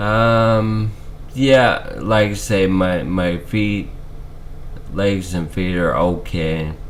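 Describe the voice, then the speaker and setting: A man's fairly low voice with ordinary pitch variation and a very slow pace, with noticeable background noise and audible room echo. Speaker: video blogger with ALS. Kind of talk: personal health update vlog.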